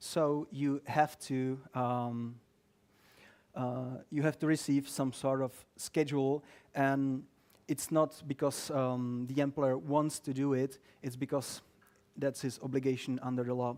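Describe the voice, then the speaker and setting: A man's medium-pitched, monotone voice at a fairly slow pace, flat in intonation, on a very clean recording with a silent background. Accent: Czech. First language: Czech. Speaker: lawyer. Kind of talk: talk to a live audience. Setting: office event with audience, streamed. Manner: halting, many fillers; dry humor.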